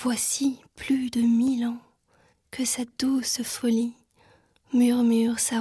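Very slow and monotone, the voice has a dark, mellow tone and flat intonation. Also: woman. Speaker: poetry reader. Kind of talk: poetry reading.

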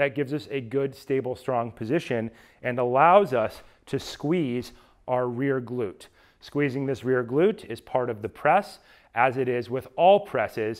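A man speaks at a fairly slow pace with ordinary pitch variation against a quiet background. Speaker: fitness coach. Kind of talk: tutorial. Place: gym.

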